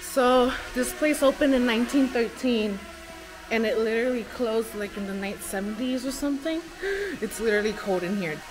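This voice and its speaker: A woman speaks at a moderate pace. Faint music sits in the background. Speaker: vlogger. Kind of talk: casual vlog chat. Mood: nervous, spooked. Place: farm machine. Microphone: phone near.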